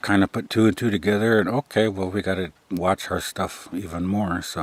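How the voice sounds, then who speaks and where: On a very clean recording with a silent background and a dry, close sound with no echo, a man with a fairly low pitch and a relaxed tone speaks at a moderate pace with fairly even intonation and hardly any pauses. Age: 50s. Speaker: military veteran and vlogger. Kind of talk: casual vlog monologue. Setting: outdoors by a tipi. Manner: monotone; relaxed, meandering with fillers.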